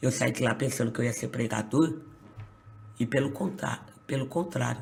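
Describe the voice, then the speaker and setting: At a moderate pace, a medium-pitched man with vocal fry speaks with long, frequent pauses and big swings in loudness. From Brazil, São Paulo state. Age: 20s. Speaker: pastor. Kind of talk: testimony.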